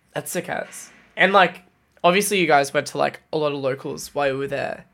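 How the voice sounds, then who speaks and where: A man is speaking. His pace is fairly quick. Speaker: podcast host. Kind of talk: casual chat.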